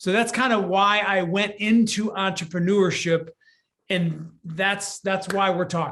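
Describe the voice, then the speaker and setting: A man speaks with an American accent at a fairly slow pace. His voice is high-pitched, with a bright, sharp tone and an animated delivery. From Michigan, US Midwest. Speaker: business coach. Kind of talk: interview.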